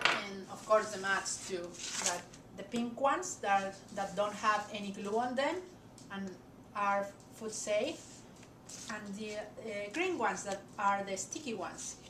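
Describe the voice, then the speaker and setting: There is audible room echo as a woman speaks with ordinary pitch variation. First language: not English. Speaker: crafter. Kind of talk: tutorial. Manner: hesitant, frequent fillers.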